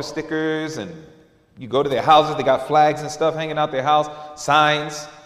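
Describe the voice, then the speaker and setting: In an animated, playful tone, a man with fairly high pitch speaks at a moderate pace, with audible room echo and noticeable background noise. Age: 40s. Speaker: preacher. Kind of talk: sermon, candid personal confession woven into a church message. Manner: conversational and earnest, with repeated fillers like you know; animated, with emphatic repetition and playful mimicry of lax voices.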